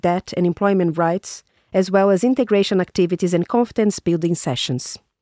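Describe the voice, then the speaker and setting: A woman's plain, everyday voice at medium pitch, at a moderate pace, with a dry, close sound free of echo, in a very clean recording against a silent background. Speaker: podcast host and narrator. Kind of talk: scripted narration.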